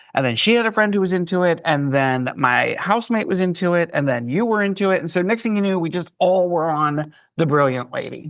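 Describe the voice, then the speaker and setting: A man's high-pitched voice at a fairly quick pace, with lively intonation, hardly any pauses and a quiet background. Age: 60s. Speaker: cruise staff writer. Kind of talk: casual chat.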